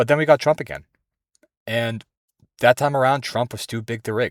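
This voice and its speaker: A man with an American accent speaks at a moderate pace in an animated tone, his pitch medium with ordinary variation. The sound is dry and close, with no echo. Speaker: vlogger. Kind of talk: casual monologue. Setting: in a car.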